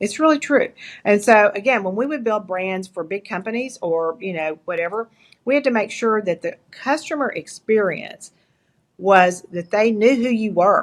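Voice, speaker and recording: Lively intonation and a moderate pace mark this speaker with an East Texas accent. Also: woman, fairly high pitch for a woman. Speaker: entrepreneur and leadership coach. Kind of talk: interview.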